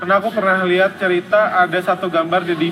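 Over noticeable background noise, a man talks at high pitch with fairly even intonation. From Indonesia. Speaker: comic book artist. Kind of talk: casual interview. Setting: cafe.

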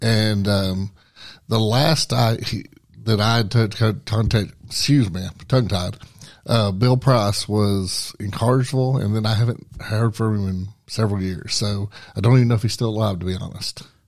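At a moderate pace, a plain, everyday voice speaks with fairly even intonation on a very clean recording with a silent background. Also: man, fairly low pitch for a man. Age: 40s. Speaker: professional wrestler. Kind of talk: casual chat. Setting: studio.

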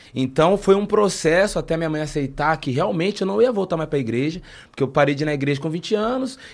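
A man speaks at a very fast pace. His fairly high voice has lively intonation. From interior of São Paulo state (Taubaté). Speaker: rapper. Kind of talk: casual interview.

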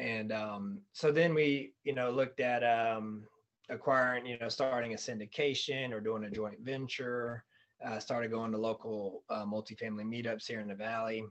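A man with an American accent and a plain, everyday voice talks at a moderate pace and medium pitch, his intonation fairly even. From North Carolina (Fayetteville). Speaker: real estate investor and flooring salesman. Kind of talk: casual interview.

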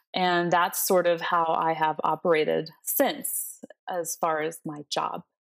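A woman's fairly low voice at a fairly slow pace, with ordinary pitch variation and a dry, close sound with no echo. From Peru, moved to Florida at ten. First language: Spanish. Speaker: college English professor. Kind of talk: interview conversation. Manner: hesitant with frequent fillers.

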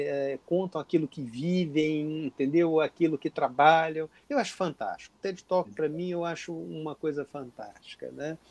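This man has a fairly high pitch and ordinary pitch variation. He talks at a fairly slow pace. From Brazil, inland Minas Gerais. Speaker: gynecologist and researcher. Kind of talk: interview. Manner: halting, repeats words.

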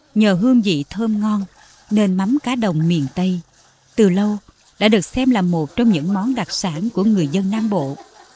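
A moderate pace over noticeable background noise. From Kiên Giang, Mekong Delta, Vietnam. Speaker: narrator of a rural memoir episode. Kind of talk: scripted narration.

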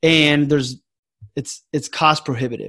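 A man in a plain, everyday voice speaks at a moderate pace and a fairly high pitch, with ordinary pitch variation. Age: 30s. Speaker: financial advisor. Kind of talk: interview.

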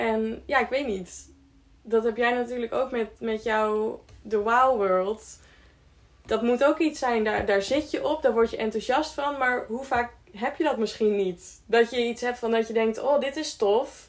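At a fairly slow pace, a woman with a normal speaking voice speaks at a fairly high pitch with ordinary pitch variation. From Friesland, Netherlands. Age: 20s. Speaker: care worker and hiker. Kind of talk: podcast interview.

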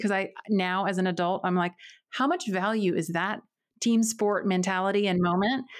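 In an American accent and a plain, everyday voice, a woman talks at a fairly quick pace with medium pitch and fairly even intonation, on a very clean recording with a silent background. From North Carolina, rural area near Winston-Salem. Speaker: physical therapist and podcast host. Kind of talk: casual interview chat.

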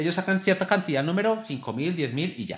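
Very wide pitch swings and vocal fry in a man's voice. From Colombia, Boyacá (Tunja). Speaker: amateur marathon runner. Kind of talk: casual interview.

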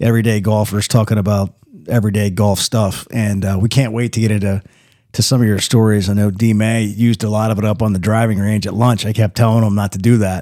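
The recording is very clean, with a silent background. A man talks at a fairly quick pace in an ordinary speaking voice with fairly low pitch. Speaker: podcast host. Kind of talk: casual chat. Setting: studio.

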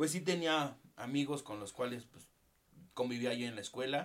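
With a Mexican accent, a man talks at a medium pitch with ordinary pitch variation. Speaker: podcast co-host. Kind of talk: casual chat. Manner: halting.

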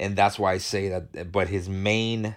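A man's very deep, low voice in a monotone, flat intonation, against a quiet background. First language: not English. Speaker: podcast host. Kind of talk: casual monologue. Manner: halting, with many fillers and restarts.

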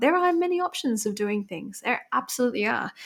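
With an Australian accent, a woman talks fairly quickly with very wide pitch swings, on a very clean recording with a silent background. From New South Wales, Australia (small coastal town south of Sydney). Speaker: business co-founder. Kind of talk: casual interview.

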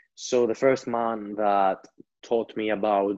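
A man with a Greek accent, monotone and flat in intonation, against a quiet background. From Greece. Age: 20s. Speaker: entrepreneur. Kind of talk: interview storytelling.

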